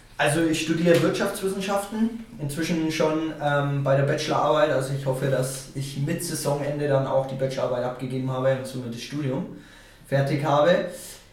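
A man with a Franconian accent at a fairly quick pace, ordinary pitch variation, audible room echo and noticeable background noise. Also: fairly high pitch for a man. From Franconia, northern Bavaria. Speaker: football player. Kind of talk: interview. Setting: home recording room.

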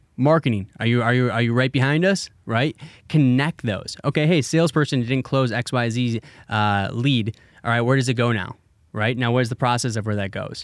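A man with an American accent talks at a moderate pace and medium pitch, in a normal speaking voice with ordinary pitch variation. The recording is very clean, with a silent background. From Wisconsin, US Midwest. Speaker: marketing agency CEO. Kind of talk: casual interview.

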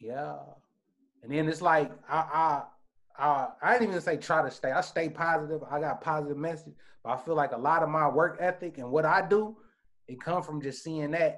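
A man with an American accent talks at a moderate pace in a plain, everyday voice, fairly high in pitch, with ordinary pitch variation. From Indianapolis, Indiana, US Midwest. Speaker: camera operator, filmmaker and rapper. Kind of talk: casual interview chat. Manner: casual, slangy.

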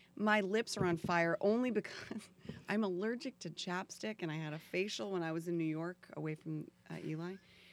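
Delivered at a fairly quick pace with ordinary pitch variation, this is a normal speaking voice. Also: woman, fairly low pitch for a woman. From Florida. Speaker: actress. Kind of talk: casual chat.

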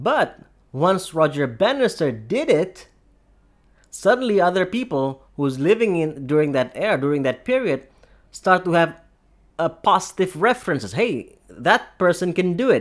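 Recorded very cleanly with a silent background, a man with a high pitch moves at a moderate pace through very wide pitch swings. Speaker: self-improvement podcast host. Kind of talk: solo motivational talk.

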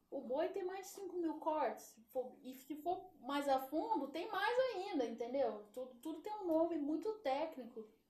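The speech goes at a fairly slow pace with hardly any pauses. Loudness rises and falls in big swings. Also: woman. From São Paulo, Brazil. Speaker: former basketball player and meat shop owner. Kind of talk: interview.

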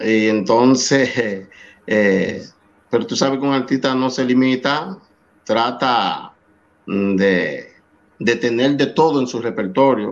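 Against a quiet background, a man speaks at a very slow pace and medium pitch with ordinary pitch variation, leaving long, frequent pauses. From Dominican Republic, San Cristóbal. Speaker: salsa singer. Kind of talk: interview.

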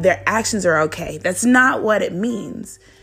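This is a woman talking. Her voice sits over noticeable background noise. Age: 20s. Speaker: devotional podcast host. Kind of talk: devotional talk. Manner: casual.

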